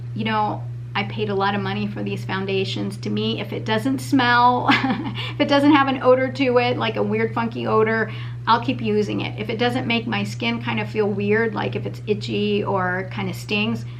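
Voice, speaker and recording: Audible room echo and noticeable background noise fill the recording. Through them, a woman talks at a moderate pace. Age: 50s. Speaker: beauty vlogger. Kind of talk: product review. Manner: casual, hesitant with many fillers.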